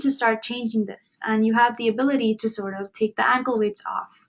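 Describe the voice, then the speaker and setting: In an Indian accent, a woman speaks at a moderate pace in a high pitch with ordinary pitch variation. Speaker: webinar presenter. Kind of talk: webinar presentation.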